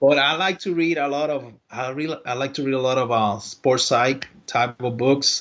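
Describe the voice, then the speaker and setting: A man speaks at a moderate pace in a Spanish accent. His pitch rises and falls in an ordinary way. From Puerto Rico. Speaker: baseball strength and conditioning coach. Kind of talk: podcast interview. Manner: halting.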